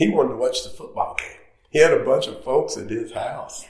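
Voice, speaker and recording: A man with an American accent talks at a moderate pace. Audible room echo surrounds his voice. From North Carolina. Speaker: golf course architect. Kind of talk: interview. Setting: on location at a golf course.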